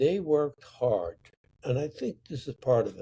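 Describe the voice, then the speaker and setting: A man speaks at a moderate pace with ordinary pitch variation. His voice is somewhat breathy, with a dark, mellow tone. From Sicily, Italy. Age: 80s+. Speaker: painter. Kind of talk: interview answer.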